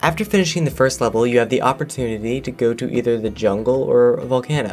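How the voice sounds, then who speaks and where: A man talks at a fairly quick pace in a medium pitch, with ordinary pitch variation and noticeable background noise. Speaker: video game reviewer. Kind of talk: game review voiceover.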